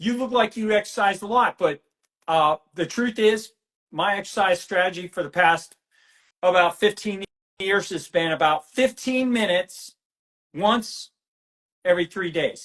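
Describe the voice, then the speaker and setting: A man's high-pitched voice with ordinary pitch variation and long, frequent pauses, in a dry, close sound with no echo. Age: 60s. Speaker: physician researcher. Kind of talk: interview. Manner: halting.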